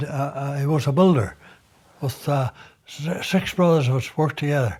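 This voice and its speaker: Somewhat breathy, a man speaks at a moderate pace with a fairly high pitch and ordinary pitch variation. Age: 80s+. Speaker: retired builder. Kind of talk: interview answer.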